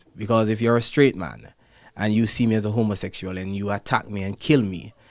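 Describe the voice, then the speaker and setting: With a Jamaican accent, a man talks at a fairly low pitch with ordinary pitch variation on a very clean recording with a silent background. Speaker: ballet dancer. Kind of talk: interview answer.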